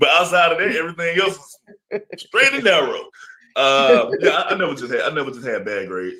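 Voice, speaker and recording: This man speaks at a moderate pace with an Alabama accent. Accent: US Southern (Alabama). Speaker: interview guest. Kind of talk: casual interview.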